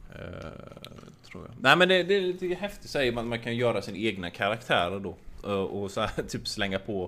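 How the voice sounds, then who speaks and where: A man with a medium pitch speaks at a moderate pace in a bright, sharp tone. His pitch swings very widely. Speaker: podcast co-host. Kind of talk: casual chat.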